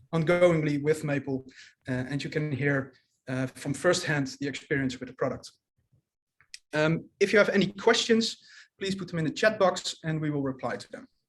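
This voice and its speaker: With a Dutch accent and a fairly high pitch, a man speaks at a moderate pace with ordinary pitch variation, big swings in loudness and long, frequent pauses. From Netherlands. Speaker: commercial manager. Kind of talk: webinar presentation. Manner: halting, many fillers.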